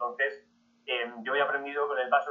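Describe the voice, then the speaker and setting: A man speaks at a fairly quick pace in a normal speaking voice. His pitch sits fairly high. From Spain, southern Madrid region. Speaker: history podcaster. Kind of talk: interview talk to an audience.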